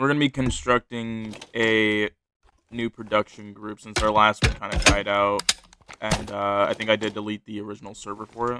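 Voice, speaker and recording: With a dry, close sound and no echo, a man speaks at a moderate pace in a fairly low, monotone, flat voice that has big swings in loudness. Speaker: online content creator. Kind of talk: casual chat. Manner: casual, halting.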